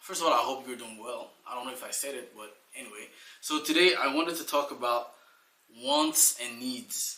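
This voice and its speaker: Here a man talks with a fairly high pitch. His pitch variation is ordinary. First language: French. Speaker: life coach. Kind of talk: motivational talk. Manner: casual, with fillers.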